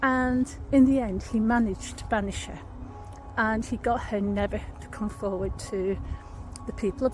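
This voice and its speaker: Music plays in the background as a woman with a Lancashire accent talks at a moderate pace in a fairly high pitch with ordinary pitch variation. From Lancashire, northern England. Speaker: paranormal history vlogger. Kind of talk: walking vlog storytelling. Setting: outdoors in woods. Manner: conversational.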